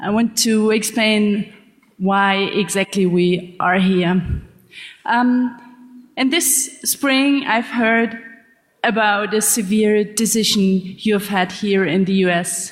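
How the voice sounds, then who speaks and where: A woman's fairly high voice at a very slow pace, very even loudness and ordinary pitch variation, with music in the background. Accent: German. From Germany. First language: German. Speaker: investigative journalist. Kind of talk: conference talk. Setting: stage with audience.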